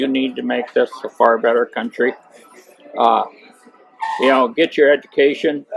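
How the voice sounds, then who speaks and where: The speaker has a Midwestern US accent. The pace is moderate. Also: man. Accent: US Midwest. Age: 60s. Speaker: farmer and political delegate. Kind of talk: interview.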